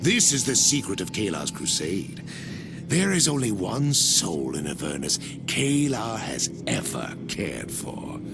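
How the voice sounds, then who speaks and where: With loud music in the background, a man uses a put-on character voice at a fairly slow pace. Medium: short film. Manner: cold, disdainful.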